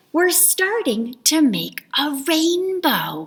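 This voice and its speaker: A woman puts on a character voice at an extremely high pitch, speaking very slowly. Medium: read story. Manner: sly, playful.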